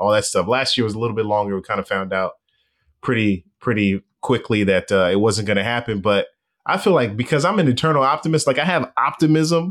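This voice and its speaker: A man with an American accent speaks in an ordinary speaking voice at a medium pitch and a fairly quick pace. His intonation is lively, and the recording is very clean with a silent background. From Los Angeles, US West Coast. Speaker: baseball reporter. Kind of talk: casual interview.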